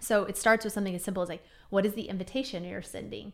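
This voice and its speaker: A woman is speaking. Her voice is loud. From Missouri, Kansas City area. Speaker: entrepreneur and consultant. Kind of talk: casual interview.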